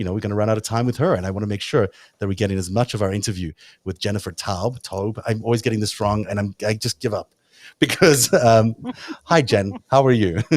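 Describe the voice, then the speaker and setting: Speaking very fast with a South African accent, a man has a fairly low pitch with ordinary pitch variation. The sound is dry and close with no echo, on a very clean recording with a silent background. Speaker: talk show host. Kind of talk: casual interview chat.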